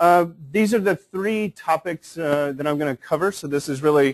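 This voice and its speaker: A man speaks in a normal speaking voice at a moderate pace, fairly high-pitched with ordinary pitch variation. The sound is dry and close with no echo, over a quiet background. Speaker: technical specialist presenting on building information modeling. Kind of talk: conference presentation.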